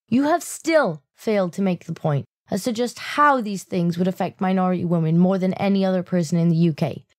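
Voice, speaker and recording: A British-accented woman at a medium pitch, with lively intonation, a fairly quick pace and hardly any pauses, on a very clean recording with a silent background. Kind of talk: political commentary video narration. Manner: sarcastic.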